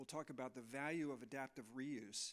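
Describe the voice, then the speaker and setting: Speaking with an American accent, a man has an unremarkable speaking voice at medium pitch with ordinary pitch variation. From US Midwest, Chicago area. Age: 60s. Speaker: architect. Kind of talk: presentation to an audience.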